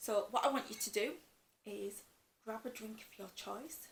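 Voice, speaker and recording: Her pace is moderate. The woman's voice has vocal fry. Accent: Yorkshire. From West Yorkshire, northern England. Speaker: cross-stitch vlogger. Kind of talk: casual chat.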